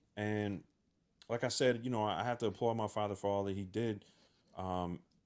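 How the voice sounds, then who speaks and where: A man talks at a moderate pace with a fairly low pitch and fairly even intonation. The recording is very clean, with a silent background. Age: 30s. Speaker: music producer podcast host. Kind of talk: casual chat. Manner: halting, many fillers.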